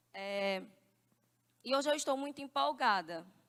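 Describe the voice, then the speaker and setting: A woman talks at a fairly slow pace. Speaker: preacher. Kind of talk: sermon. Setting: church.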